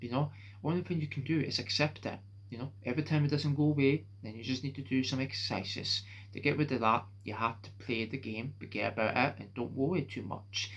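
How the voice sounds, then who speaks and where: A man speaks at a fairly quick pace in a medium pitch, with vocal fry and ordinary pitch variation. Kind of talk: casual talk to camera. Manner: hesitant, halting.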